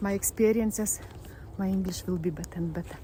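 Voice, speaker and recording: The voice carries a Lithuanian accent. Its intonation is fairly even. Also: woman. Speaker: spiritual vlogger. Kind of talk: personal vlog monologue. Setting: outdoors in a forest. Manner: halting, with false starts.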